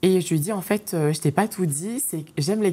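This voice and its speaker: The tone is dark and mellow, moving at a moderate pace with ordinary pitch variation. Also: woman. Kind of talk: interview answer.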